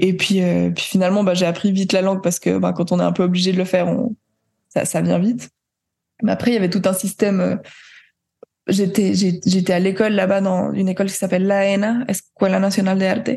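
A woman of medium pitch and dark, mellow tone talks at a fairly quick pace in a monotone, flat intonation, her loudness very even. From Switzerland. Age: 20s. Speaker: jazz pianist and composer. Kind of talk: interview. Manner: hesitant, many fillers.

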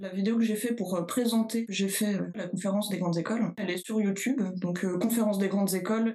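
In a normal speaking voice, a woman talks fairly quickly at a medium pitch with fairly even intonation. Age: 30s. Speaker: chemistry lecturer and researcher. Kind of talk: interview.

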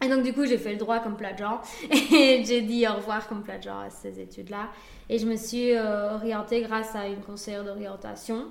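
With big swings in loudness, a woman with a fairly high pitch speaks in a monotone, flat intonation amid audible room echo and noticeable background noise. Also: moderate pace. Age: 20s. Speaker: restaurant owner and food influencer. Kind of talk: casual interview. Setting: in her restaurant.

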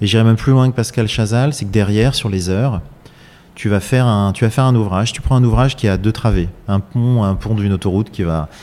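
Fairly low pitch from a man, with a dark, mellow tone, ordinary pitch variation and a fairly quick pace. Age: 40s. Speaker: architect-engineer, company president. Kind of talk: interview. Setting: factory workshop.

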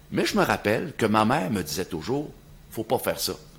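His pitch swings very widely. The speaker is a man. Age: 60s. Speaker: podcast host. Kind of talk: casual chat.

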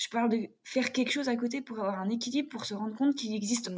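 A woman's unremarkable speaking voice, fairly high in pitch, with ordinary pitch variation. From France, Jura. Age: 30s. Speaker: table tennis player. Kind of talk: casual chat.

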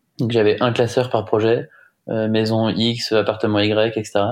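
A man's medium-pitched voice at a fairly slow pace over a quiet background. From Brittany, France (Rennes). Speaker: offshore sailing skipper. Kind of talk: casual interview. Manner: halting, many fillers.

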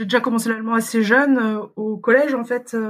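Noticeable background noise runs behind a woman's voice. Her pitch is fairly high, with fairly even intonation. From Paris region, France. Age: 30s. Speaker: mother living abroad. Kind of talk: interview. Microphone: poor sound quality at times.

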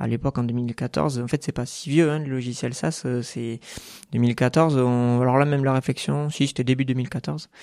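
A man talks at a medium pitch with a dark, mellow tone and fairly even intonation. The sound is dry and close, with no echo. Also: moderate pace. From southwest France (Dordogne, Bergerac). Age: 30s. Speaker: accountant and company founder. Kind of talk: podcast interview. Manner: hesitant, many filler sounds.

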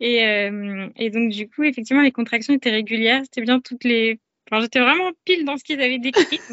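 The speaker moves at a fairly quick pace. Pitch variation is ordinary. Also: woman, high pitch for a woman. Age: 30s. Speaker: mother sharing birth story. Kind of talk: testimony. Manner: halting.

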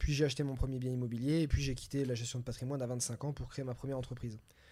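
The recording is very clean, with a silent background, as a man talks at a very fast pace. His medium-pitched voice has a dark, mellow tone, is somewhat breathy, and keeps a fairly even intonation. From southern France, near Nice. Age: 30s. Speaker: entrepreneur and real estate investor. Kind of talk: casual interview.

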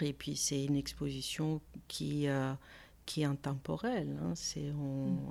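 A woman with a Greek accent, talking at a very slow pace. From Greece, Athens. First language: Greek (speaking French). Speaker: art conservator-restorer. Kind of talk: interview conversation. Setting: her studio workspace. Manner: hesitant, many fillers.

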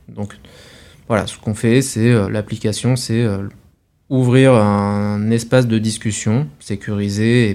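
A man speaks very slowly at a fairly low pitch, his tone dark and mellow and his intonation fairly even, in a very clean recording with a silent background. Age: 30s. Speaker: startup founder and CEO. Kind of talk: interview.

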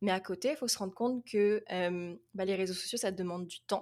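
Recorded very cleanly against a silent background, a woman with an ordinary speaking voice talks at a moderate pace in a medium pitch with ordinary pitch variation. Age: 20s. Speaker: young adult fantasy novelist. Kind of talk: casual interview.

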